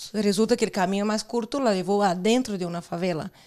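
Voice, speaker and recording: A woman's medium-pitched voice with ordinary pitch variation and a Portuguese accent, on a very clean recording with a silent background. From Brazil. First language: Portuguese (speaking Spanish). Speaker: guest. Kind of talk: casual chat.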